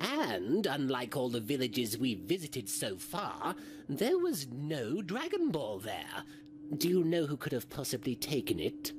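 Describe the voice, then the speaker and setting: A man's fairly high pitched voice over clear background noise. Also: moderate pace. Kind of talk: comic parody voice acting. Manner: smug, sarcastic, coldly condescending.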